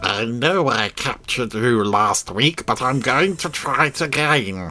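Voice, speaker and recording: The man speaks in a put-on character voice. His pitch is medium and his pace fairly slow. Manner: youthful, attempted.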